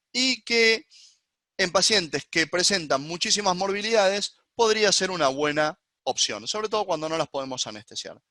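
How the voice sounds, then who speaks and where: A man's voice comes with a bright, sharp tone and lively intonation in a dry, close sound with no echo. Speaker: gynecologist. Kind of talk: lecture. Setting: webinar. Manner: fast.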